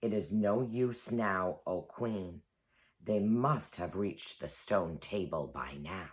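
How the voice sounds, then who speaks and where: On a very clean recording with a silent background, a man does a growling, put-on character voice at a fairly low pitch and a fairly slow pace. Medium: read story. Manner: low, grim.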